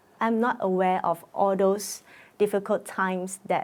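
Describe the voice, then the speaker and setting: A woman's very slow speech with ordinary pitch variation on a very clean recording against a silent background. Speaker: musical theatre actor. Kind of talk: documentary interview. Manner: halting, with many fillers.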